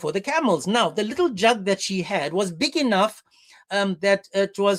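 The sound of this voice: This is an unforced reading voice. The words are read aloud without strain.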